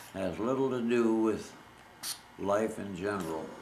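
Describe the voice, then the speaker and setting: A man at a fairly slow pace with ordinary pitch variation, amid noticeable background noise. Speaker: World War II Navy veteran, former radio man. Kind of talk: oral history reminiscence.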